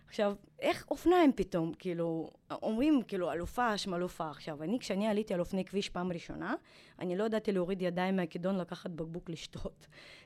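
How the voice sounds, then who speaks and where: A woman's unremarkable speaking voice at a medium pitch, with ordinary pitch variation and a fairly quick pace. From former Soviet Union. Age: 40s. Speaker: retired triathlete. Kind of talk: interview.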